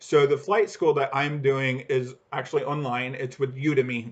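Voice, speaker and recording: Somewhat breathy, a man with a fairly high pitch talks at a fairly slow pace with ordinary pitch variation. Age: 30s. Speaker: aviation vlogger and airline employee. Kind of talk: casual vlog monologue. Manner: halting, with fillers and false starts.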